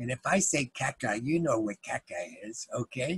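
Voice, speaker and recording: A man at a moderate pace, somewhat breathy, with a dry sound with no echo and a quiet background. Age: old. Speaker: grandfather. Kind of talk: casual talk to grandchildren about books. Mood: warm, playful. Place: home room. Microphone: webcam.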